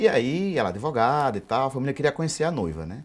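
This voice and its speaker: Very wide pitch swings at a very fast pace. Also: man. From Brazil, Paraíba. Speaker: anthropologist; guest. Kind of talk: TV interview. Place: studio. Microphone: lapel.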